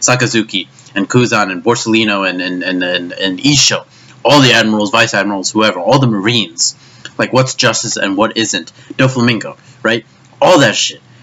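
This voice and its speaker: Noticeable background noise sits behind a man at a medium pitch. He talks at a fairly quick pace with ordinary pitch variation. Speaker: anime commentary youtuber. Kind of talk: rant. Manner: stuttering, repetitive.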